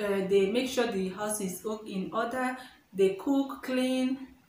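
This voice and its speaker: A woman speaks with a Nigerian accent at a fairly slow pace, her pitch fairly high with ordinary variation. Audible room echo and noticeable background noise are present. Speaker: vlogger. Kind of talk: casual vlog.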